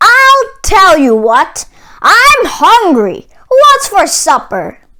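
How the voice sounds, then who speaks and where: A woman puts on a character voice that is gruff, squeaky and bellowing, at an extremely high pitch. She goes at a very slow pace with very wide pitch swings. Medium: read story. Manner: roaring, gruff.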